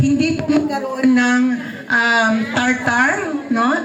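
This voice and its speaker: A loud, high-pitched woman's voice in an animated tone, with audible room echo and noticeable background noise. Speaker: product demonstrator. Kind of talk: sales pitch. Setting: live audience without microphone. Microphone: no microphone.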